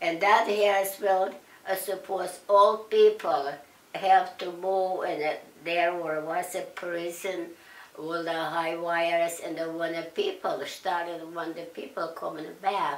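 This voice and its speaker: Her pace is very slow. This woman speaks with monotone, flat intonation. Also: fairly low pitch for a woman. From Russia. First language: Russian. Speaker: Nazi concentration camp survivor. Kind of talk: interview answer.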